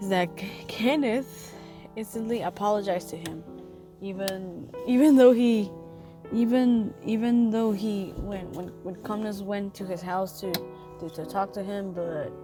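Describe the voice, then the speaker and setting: A woman speaks fairly slowly at a medium pitch, her loudness swinging widely. Music plays in the background. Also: ordinary pitch variation. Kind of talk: casual commentary voice-over. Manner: hesitant, rambling.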